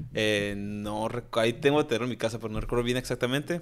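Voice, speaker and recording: A man's normal speaking voice, medium-pitched and moderately paced, over a silent background on a very clean recording. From Tijuana, Mexico. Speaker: chef and restaurant owner. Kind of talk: casual chat.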